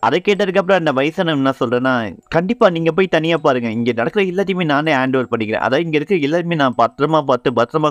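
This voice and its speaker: Set against a quiet background, a man with an unremarkable speaking voice talks with lively intonation, the sound dry and close with no echo. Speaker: anime story narrator. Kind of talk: casual anime episode recap.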